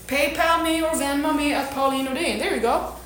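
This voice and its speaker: Over noticeable background noise, a woman with a non-native accent speaks at a moderate pace in a high pitch with ordinary pitch variation. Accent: foreign accent that can sound angry. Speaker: fitness coach. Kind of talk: motivational talk to community. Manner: passionate, intense.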